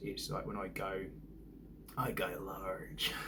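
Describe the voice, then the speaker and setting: There is audible room echo and noticeable background noise. Through it, a man speaks with a British accent. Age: 40s. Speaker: vlogger. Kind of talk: casual vlog monologue. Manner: hesitant, many fillers.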